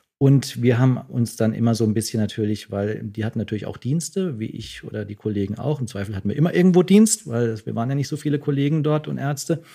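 A man with a medium-pitched, somewhat breathy voice and a dark, mellow tone talks at a very fast pace with lively intonation and hardly any pauses. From southwestern Germany, Freiburg. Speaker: doctor. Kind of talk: casual interview.

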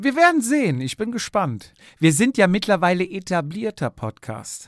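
A man talks at a fairly slow pace and high pitch, with very wide pitch swings. The recording is very clean, with a silent background. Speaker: podcast co-host, amateur cyclist. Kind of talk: casual chat.

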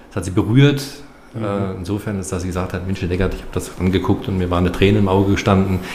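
Over noticeable background noise and audible room echo, a man with a very deep, low pitch talks at a very fast pace with fairly even intonation. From Baden, Karlsruhe area. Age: 50s. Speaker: filmmaker, former aviation worker. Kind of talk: podcast interview. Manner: halting, many fillers and repetitions.

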